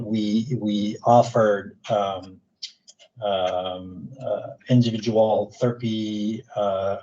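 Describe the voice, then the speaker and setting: With a Quebec accent, a man speaks at a medium pitch in a dark, mellow tone with fairly even intonation. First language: French. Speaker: psychologist and researcher. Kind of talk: lecture. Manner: halting.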